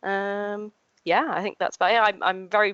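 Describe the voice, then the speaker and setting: This is a woman speaking with a Yorkshire accent. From Yorkshire, York. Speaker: living historian and re-enactor. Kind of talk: interview conversation. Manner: hesitant, many fillers.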